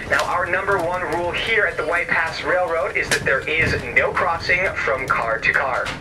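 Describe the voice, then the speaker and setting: Noticeable background noise under speech at a moderate pace. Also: man. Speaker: train staff announcer. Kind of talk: safety announcement. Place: train.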